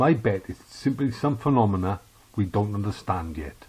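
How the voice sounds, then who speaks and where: A man speaks with a Welsh accent at a moderate pace. His intonation is lively, and his voice is somewhat breathy. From South Wales. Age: 60s. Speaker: podcast host. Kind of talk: opinion monologue.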